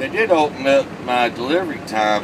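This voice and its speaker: Someone talks at a fairly slow pace over loud background noise. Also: man. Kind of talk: casual vlog chat. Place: car. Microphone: phone near.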